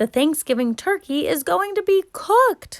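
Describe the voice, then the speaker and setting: A woman does a squeaky, put-on character voice at an extremely high pitch. Her pitch swings very widely. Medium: read story.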